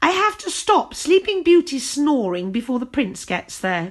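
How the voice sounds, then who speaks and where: Putting on a character voice, a woman speaks at a moderate pace with a high pitch and very wide pitch swings. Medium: read story. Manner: curt, impatient.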